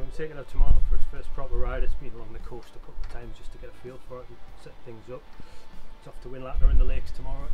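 A man talking at a very fast pace over clear background music. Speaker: bike owner reviewing his new e-bike. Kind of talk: casual vlog chat. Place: garden.

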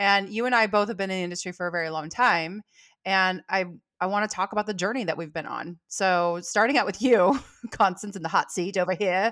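An American accent with ordinary pitch variation, a fairly quick pace and a quiet background. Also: woman. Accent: Californian, noticed by Southerners. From California. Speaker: salon owner and business coach. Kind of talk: casual chat. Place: home room. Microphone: studio mic.

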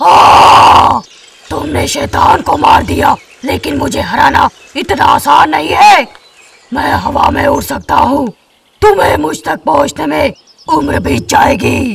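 Putting on a character voice, a man speaks at a fairly slow pace with an extremely high pitch. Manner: arrogant, then disbelieving.

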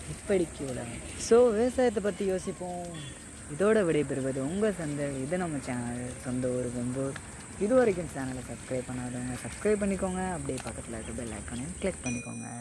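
A man with a fairly high pitch and lively intonation, amid noticeable background noise. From Tamil Nadu, Vembur village. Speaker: farming YouTuber. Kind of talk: scripted intro and outro.

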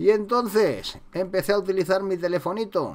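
A man with a Madrid accent speaks fairly slowly at a high pitch with ordinary pitch variation. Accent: central Spain Spanish (Madrid area). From Spain, town south of Madrid. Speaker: street photography youtuber. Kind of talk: casual tutorial monologue. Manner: animated.

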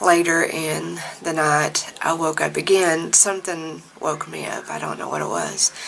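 A woman speaks at a fairly slow pace in an ordinary speaking voice. Her pitch is fairly low, and her intonation stays fairly even. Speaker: vlogger. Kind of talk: casual vlog storytelling. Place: home room. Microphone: phone near.

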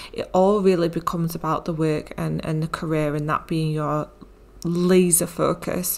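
A woman with a British accent speaks at a fairly low pitch in a monotone, flat intonation. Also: moderate pace. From UK. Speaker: health and mindset coach. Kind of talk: solo podcast monologue.

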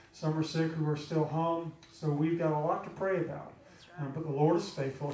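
There is light background noise and audible room echo. A man speaks at a moderate pace. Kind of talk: church announcements and exhortation. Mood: earnest, concerned. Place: church.

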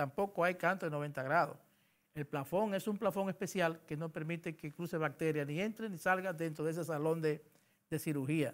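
This voice moves at a moderate pace with fairly even intonation. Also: man. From Dominican Republic, Santiago de los Caballeros; Dominican Republic. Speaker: government engineering official; interviewee. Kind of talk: interview. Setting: radio studio. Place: studio. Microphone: lapel.

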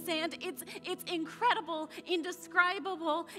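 A woman speaks fairly slowly in a raised, projected voice. Clear music plays behind her. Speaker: spoken word poet. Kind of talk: spoken word poetry performance. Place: stage.

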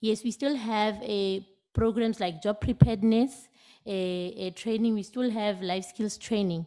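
A woman with a dark, mellow tone and a fairly high voice speaks at a fairly slow pace. Her intonation stays fairly even against a quiet background. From Northern Cape, South Africa (Kuruman); Northern Cape, South Africa. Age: 30s. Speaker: job interview candidate; interview candidate. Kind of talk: formal interview answers. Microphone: podium.

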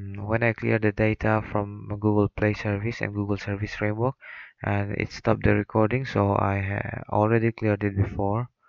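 A man with a non-native accent, fairly low in pitch, at a moderate pace and in a monotone with flat intonation. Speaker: mobile game tutorial maker. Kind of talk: screen-recorded tutorial narration. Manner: hesitant, many fillers.

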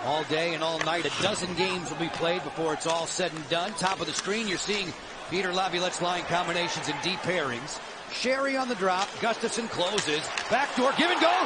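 Excited and fairly quick, a man speaks at a high pitch with ordinary pitch variation. Noticeable background noise runs underneath. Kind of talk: live sports commentary. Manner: rapid-fire, clipped play-by-play that erupts into excited goal calls; animated.

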